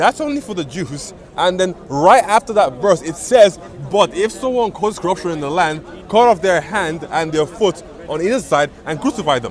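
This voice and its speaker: A man with a high pitch and lively intonation, over noticeable background noise. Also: moderate pace. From Nigeria (Igbo). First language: Igbo. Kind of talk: heated debate. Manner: halting.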